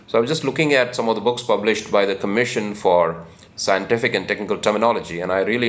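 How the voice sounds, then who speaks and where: A man speaks with an Indian accent. His pitch sits fairly low. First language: Hindi. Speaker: book channel host. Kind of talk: informal talk. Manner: halting, many fillers.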